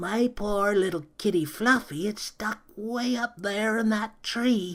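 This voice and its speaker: At a fairly slow pace, a man performs a put-on character voice with a high pitch. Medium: read story. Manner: gentle, doddering.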